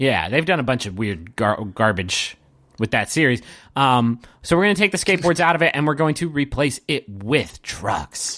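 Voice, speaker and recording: A man with a bright, sharp tone and vocal fry speaks at a moderate pace with very wide pitch swings, on a very clean recording with a silent background. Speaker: podcast host. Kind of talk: casual banter. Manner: joking, rambling.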